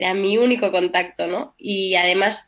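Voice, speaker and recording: A woman with a plain, everyday voice. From Barcelona, Spain. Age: young. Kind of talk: radio interview testimony.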